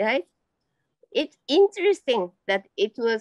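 A woman with a Japanese accent speaks high and fairly slowly, her pitch swinging very widely. The sound is dry with no echo, over a quiet background. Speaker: amateur painter and teacher. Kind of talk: interview. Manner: halting. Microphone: video call.

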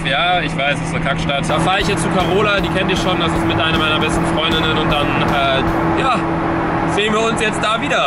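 Over loud background noise, the voice moves at a fairly quick pace with ordinary pitch variation. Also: man. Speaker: vlogger. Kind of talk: casual vlog chat. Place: car. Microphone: phone near.

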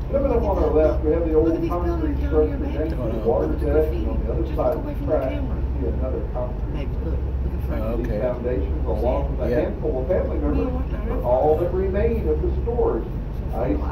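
The speech comes at a moderate pace with hardly any pauses, against noticeable background noise. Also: man. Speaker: riverboat tour guide. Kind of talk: tour commentary. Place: boat.

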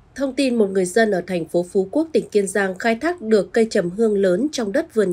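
A woman speaks in a plain, everyday voice at a medium pitch. Her intonation is lively and her pace fairly quick. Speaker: news presenter. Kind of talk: news reading. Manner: formal.

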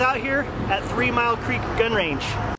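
Noticeable background noise surrounds a man whose voice is recorded dry with no echo. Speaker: vlogger. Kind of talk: casual vlog chat. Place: open country.

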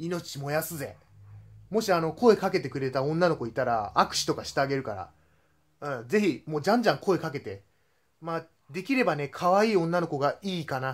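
Against a quiet background, a man talks at a fairly quick pace. His pitch is fairly high and his intonation lively. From Japan, Kanagawa; Japan. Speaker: YouTuber, tokusatsu fan; vlogger. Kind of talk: casual vlog. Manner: hesitant, many fillers. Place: home room. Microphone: phone near.

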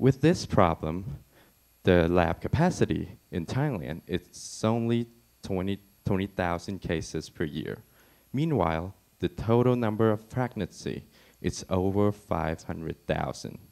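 Pausing long and often, a man with a fairly low pitch speaks at a very slow pace. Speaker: presenter. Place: hall. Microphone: handheld.

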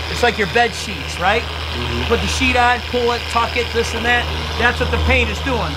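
Against loud background noise, a man with an American accent talks at a moderate pace. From Cleveland, Ohio, US Midwest. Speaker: auto detailer. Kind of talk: tutorial. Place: street. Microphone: camera far.

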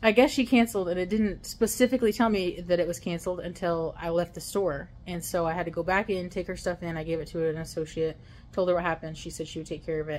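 A woman's fairly low voice at a very fast pace, with hardly any pauses, ordinary pitch variation and light background noise. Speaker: delivery driver vlogger. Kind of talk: casual vlog chat. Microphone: phone near.

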